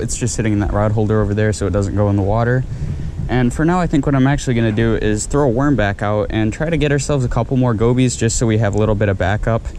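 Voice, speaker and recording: A man talks quietly at a very fast pace with lively intonation and very even loudness, amid audible room echo and noticeable background noise. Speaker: fishing vlogger. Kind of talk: vlog narration. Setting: outdoors at a beach channel. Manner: casual.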